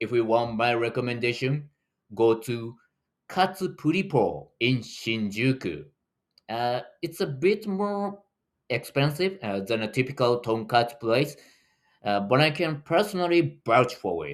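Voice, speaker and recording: A man's medium-pitched voice with very wide pitch swings at a fairly slow pace, on a very clean recording with a silent background. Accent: Japanese. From Japan, Tokyo. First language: Japanese. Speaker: running tour guide. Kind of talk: video tutorial.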